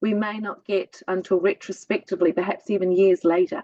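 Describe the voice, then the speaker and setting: A woman's voice, recorded with a dry, close sound with no echo, moves at a moderate pace. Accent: New Zealand. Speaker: spiritual guest. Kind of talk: casual chat.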